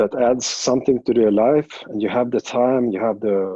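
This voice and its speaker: Talking at a fairly quick pace, a man uses a medium pitch and fairly even intonation in a Swedish accent. His tone is dark and mellow, the sound dry and close with no echo. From Sweden. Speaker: jiu jitsu coach. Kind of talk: interview. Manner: halting, many fillers and restarts.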